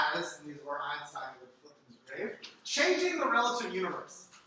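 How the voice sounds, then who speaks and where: A man uses a raised, projected voice. Audible room echo is present. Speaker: data science instructor. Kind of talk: lecture. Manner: slow.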